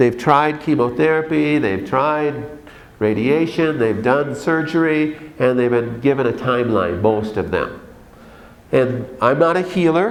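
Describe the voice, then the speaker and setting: Speaking at a fairly slow pace, a man with a fairly high pitch uses lively intonation amid audible room echo. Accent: Minnesotan. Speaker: doctor. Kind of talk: conference talk. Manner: animated.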